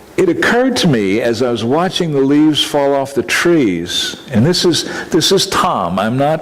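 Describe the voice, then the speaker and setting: A man with a fairly high pitch speaks at a moderate pace with very wide pitch swings, very even loudness and hardly any pauses. The room echo is audible, and background noise is noticeable. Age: 70s. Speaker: minister. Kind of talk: conference presentation. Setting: conference talk with audience.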